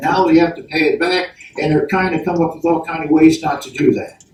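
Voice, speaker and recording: A man speaks with an American accent. Background noise is noticeable. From Baltimore, Maryland. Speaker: senior advocacy lobbyist. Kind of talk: roundtable presentation.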